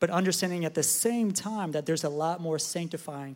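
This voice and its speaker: In a very clean recording with a silent background, a man with a plain, everyday voice speaks at a moderate pace, fairly high in pitch and with fairly even intonation. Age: 20s. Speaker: church staff member. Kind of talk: testimony.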